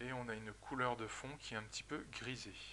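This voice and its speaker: The tone comes across bright and sharp. It belongs to a man speaking at a mid-range pitch. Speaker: software trainer. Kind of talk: tutorial.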